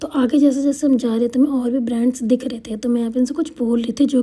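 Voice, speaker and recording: A woman's high-pitched voice with monotone, flat intonation over noticeable background noise. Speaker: vlogger. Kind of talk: vlog voiceover narration. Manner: casual, hesitant.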